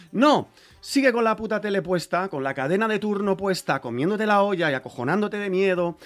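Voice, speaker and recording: The speech has lively intonation and moves at a fairly quick pace. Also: man. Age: 40s. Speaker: rapper and music producer. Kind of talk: casual interview.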